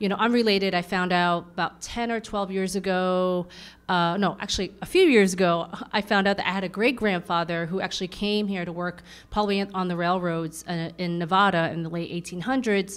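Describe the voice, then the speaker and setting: A woman with a New York accent talks at a fairly quick pace and medium pitch, her intonation fairly even. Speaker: artist and activist; panelist. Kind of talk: panel discussion. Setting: stage with audience. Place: meeting room. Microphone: handheld.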